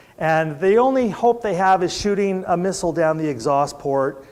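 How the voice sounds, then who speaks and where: A plain, everyday voice from a man with an American accent, lively intonation and a moderate pace. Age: 60s. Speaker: preacher. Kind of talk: sermon. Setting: church service.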